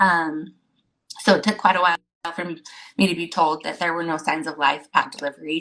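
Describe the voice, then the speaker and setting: In a bright, sharp tone, the speaker moves at a fairly quick pace with fairly even intonation, broken by long, frequent pauses. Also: woman, fairly low pitch for a woman. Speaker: guest sharing pregnancy loss story. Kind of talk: testimony. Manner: fast.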